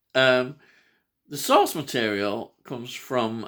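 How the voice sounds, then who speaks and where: A bright, sharp tone with a Yorkshire accent, in a very clean recording with a silent background. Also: man. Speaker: film presenter discussing a horror trilogy. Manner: casual, many filler hesitations.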